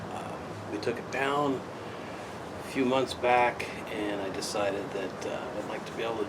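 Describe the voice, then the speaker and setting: Over noticeable background noise, a man talks in a relaxed tone at medium pitch. His pitch variation is ordinary. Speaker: hobby woodcarver. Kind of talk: casual tutorial talk to camera. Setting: outdoors. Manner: relaxed, talkative.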